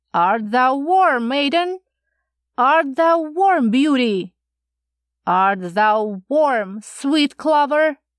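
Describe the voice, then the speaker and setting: In a put-on character voice, a woman speaks very slowly at a high pitch over a very clean recording with a silent background. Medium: read story. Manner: sing-song, repetitive questioning.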